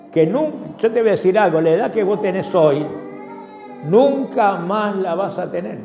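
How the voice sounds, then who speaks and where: Over music in the background and audible room echo, a man talks fairly slowly in a high pitch with lively intonation. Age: 70s. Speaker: pastor. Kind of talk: sermon.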